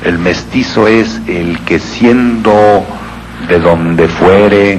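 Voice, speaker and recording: A man's fairly low voice at a very slow pace, with lively intonation, noticeable background noise and audible room echo. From Yucatán, Mexico. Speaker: speaker on regional speech. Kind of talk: lecture.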